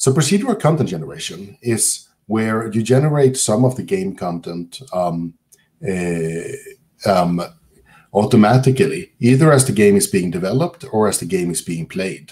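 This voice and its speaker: Over a quiet background, a man with a Swedish accent speaks at a moderate pace in a dark, mellow tone, his pitch swinging very widely. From southern Sweden. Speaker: computer science professor. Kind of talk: lecture. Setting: video call. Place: home room. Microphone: webcam.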